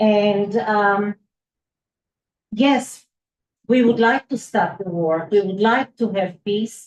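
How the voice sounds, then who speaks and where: A woman with an Israeli accent speaks at a very slow pace. Her pitch sits fairly high. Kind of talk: public comment at village board meeting. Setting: village board meeting. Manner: soft-spoken; halting.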